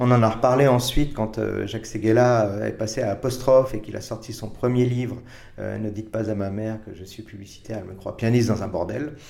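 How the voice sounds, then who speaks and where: A man's medium-pitched, fairly quick delivery with fairly even intonation and audible room echo. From France, Paris. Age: 50s. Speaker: advertising creative director. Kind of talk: interview. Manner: hesitant, many repetitions and fillers.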